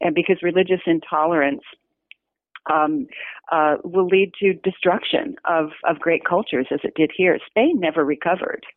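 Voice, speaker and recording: A woman speaks at a moderate pace with a fairly low pitch. Her pitch varies in an ordinary way. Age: 60s. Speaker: novelist and retired humanities professor. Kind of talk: interview. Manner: halting.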